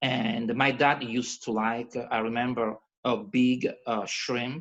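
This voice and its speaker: A man speaks with a Calabrian accent. His pitch sits in the middle range. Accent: Italian (Calabrian). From Calabria, southern Italy. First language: Italian. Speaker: cooking presenter. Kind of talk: casual talk on a video call. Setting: video call. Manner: animated; halting.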